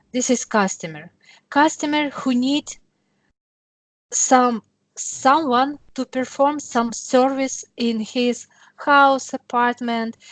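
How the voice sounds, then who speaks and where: A woman speaks at a fairly slow pace in an English accent, her pitch high. The sound is dry and close, with no echo. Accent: non-native English. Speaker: software demonstrator. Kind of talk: tutorial.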